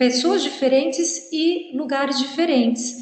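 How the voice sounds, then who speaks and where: Delivered at a fairly slow pace with ordinary pitch variation, the speech carries audible room echo. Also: woman. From Brazil. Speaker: university professor. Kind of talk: lecture.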